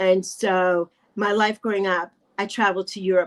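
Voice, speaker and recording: A woman with an American accent speaks at a medium pitch. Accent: New York accent, comes out occasionally. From New York, the Bronx. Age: 60s. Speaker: YouTuber. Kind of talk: interview conversation.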